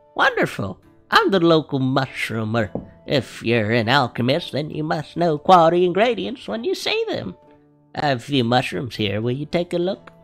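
Putting on a character voice, a man speaks at a moderate pace in a fairly high pitch while faint music plays in the background. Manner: friendly, chatty.

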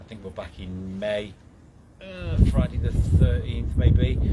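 Loud background noise fills the clip as a man speaks. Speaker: ghost hunt organiser. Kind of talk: casual live update chat. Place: street. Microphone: phone near.

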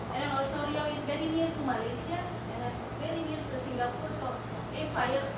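A woman at a fairly quick pace, with loud background noise and audible room echo. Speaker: university lecturer presenting research. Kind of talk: conference presentation. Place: hall.

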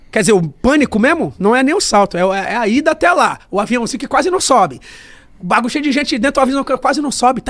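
Set against a quiet background, a man talks very fast at an extremely high pitch with lively intonation. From Brazil. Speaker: funk MC. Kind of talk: casual chat. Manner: animated. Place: studio. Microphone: studio mic.

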